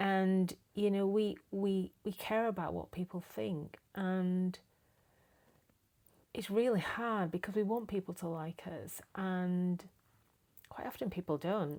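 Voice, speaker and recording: In an English accent, the speaker goes at a very slow pace with long, frequent pauses. The intonation stays fairly even. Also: woman, medium pitch for a woman. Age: 60s. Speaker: lifestyle vlogger. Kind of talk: casual monologue to camera. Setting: home, camera propped on packing box. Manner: hesitant, many fillers.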